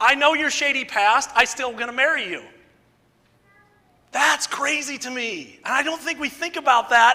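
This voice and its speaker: A man speaks in an extremely high pitch with a raised, projected voice, an animated tone, ordinary pitch variation, and a moderate pace. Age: 50s. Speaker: preacher. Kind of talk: sermon.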